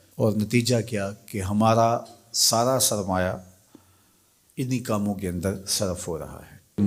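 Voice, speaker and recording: A man with a normal speaking voice, fairly low in pitch, with fairly even intonation. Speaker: Islamic scholar and preacher. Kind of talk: religious lecture.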